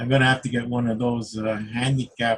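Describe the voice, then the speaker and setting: The voice is somewhat breathy and moves at a moderate pace. Its intonation is flat and monotone. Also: man. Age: 60s. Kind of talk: casual chat. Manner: halting.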